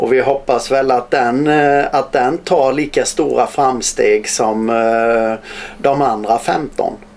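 Speaking in a Småland accent, a man keeps a medium pitch and ordinary pitch variation. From Småland, Sweden. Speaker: bandy coach. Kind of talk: interview answer. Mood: cheerful, smiling. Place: office.

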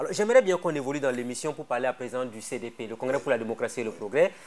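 The pace of this man's speech is very fast. Pitch moves in an ordinary way. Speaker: TV talk show host. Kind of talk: TV interview. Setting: TV studio. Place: studio. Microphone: lapel.

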